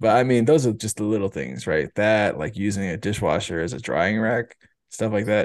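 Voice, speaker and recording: An unremarkable speaking voice moves at a moderate pace with ordinary pitch variation. The background is quiet. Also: man, fairly low pitch for a man. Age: 30s. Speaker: podcast host, father. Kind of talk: casual chat.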